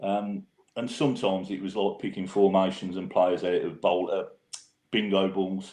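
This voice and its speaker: Speaking with a strong Brummie accent, a man with a fairly low pitch keeps a monotone, flat intonation. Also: moderate pace. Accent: strong Birmingham (Brummy). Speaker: football fan podcaster. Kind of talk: casual podcast chat.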